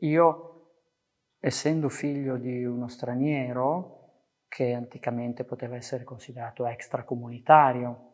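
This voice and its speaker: An unremarkable speaking voice belongs to this man, medium in pitch, fairly even in intonation and moderate in pace. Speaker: professor and poet. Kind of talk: testimony.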